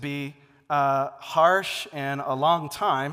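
A man speaks with an American accent. His fairly high-pitched voice has a bright, sharp tone. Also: very clean recording, silent background. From Seattle, US Pacific Northwest. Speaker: pastor. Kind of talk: sermon.

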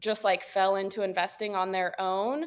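A woman speaks in a Midwestern American accent with a medium pitch. The recording is very clean, with a silent background. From Northeast Ohio, Wooster. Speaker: real estate agent. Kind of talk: interview.

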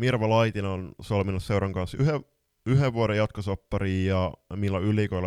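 A man with an unremarkable speaking voice, fairly low in pitch with ordinary variation, at a moderate pace, in a dry, close sound with no echo and a very clean recording with a silent background. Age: 20s. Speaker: floorball podcast co-host and coach. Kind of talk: casual chat.

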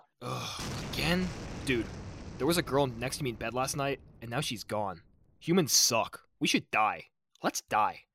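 A man puts on a raspy character voice at medium pitch, speaking at a moderate pace with lively intonation and long, frequent pauses. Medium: audio drama. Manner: sarcastic, whiny, cocky.

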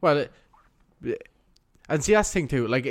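This man speaks in a Cork accent. His pitch varies in an ordinary way. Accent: Cork Irish. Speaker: podcast co-host. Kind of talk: casual chat.

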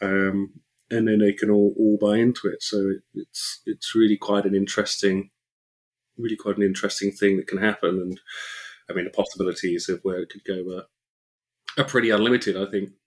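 Man in a British accent, fairly low pitch, fairly quick pace, monotone and flat, dry, close sound with no echo. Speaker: crypto podcast co-host. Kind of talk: casual chat. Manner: halting, repeats words.

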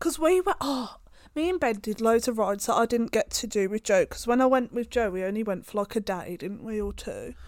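Speaking at a fairly quick pace with a British accent, a woman uses a fairly high pitch and lively intonation. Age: 20s. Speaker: podcast co-host. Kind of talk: casual chat. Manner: laughing, playful.

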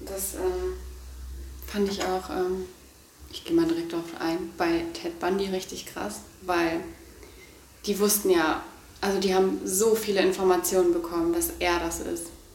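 With audible room echo and noticeable background noise, a woman speaks at a fairly slow pace, leaving long, frequent pauses. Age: 20s. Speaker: podcast co-host. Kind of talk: casual chat. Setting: holiday apartment. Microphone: poor audio quality, noisy microphone.

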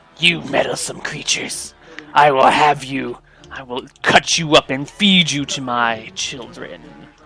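In a put-on character voice with hissing, a man speaks at a medium pitch and a fairly slow pace. Faint music plays in the background. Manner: threatening.

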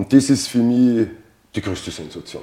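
Speaking with an Austrian accent, a man uses a medium pitch and a moderate pace. His tone is dark and mellow, and somewhat breathy. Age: 50s. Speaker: fitness coaching client. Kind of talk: interview testimony.

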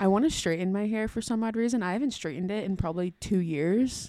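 Speaking fairly quickly in a dark, mellow tone, a woman has a medium pitch and ordinary pitch variation on a very clean recording with a silent background. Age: 20s. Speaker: podcast co-host. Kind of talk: casual chat.

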